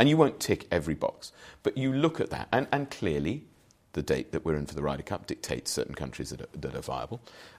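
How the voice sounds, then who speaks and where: Very fast and full of very wide pitch swings, a man talks at a fairly low pitch with vocal fry. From English Midlands (Wolverhampton, Shropshire). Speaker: golf executive. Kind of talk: interview conversation. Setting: hotel in London.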